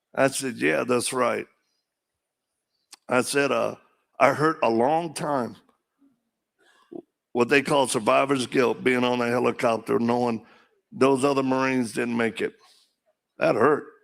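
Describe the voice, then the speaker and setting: A man with a medium-pitched voice and fairly even intonation speaks at a fairly slow pace, leaving long, frequent pauses. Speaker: political candidate. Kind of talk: campaign speech.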